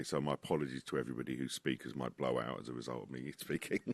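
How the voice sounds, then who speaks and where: With vocal fry and monotone, flat intonation, the voice races at a very fast pace in a dry, close sound with no echo. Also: man, very deep, low pitch for a man. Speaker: podcast guest.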